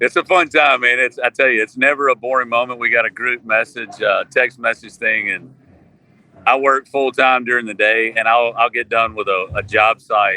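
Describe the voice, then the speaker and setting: This man speaks with a Southern US accent, and the sound is dry and close with no echo. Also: medium pitch for a man, fairly even intonation, moderate pace. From Mississippi, US South. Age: 40s. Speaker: country musician. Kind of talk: casual chat.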